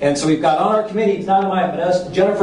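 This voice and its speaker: A man with a high pitch speaks with ordinary pitch variation. There is audible room echo and light background noise. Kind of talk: public presentation. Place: hall.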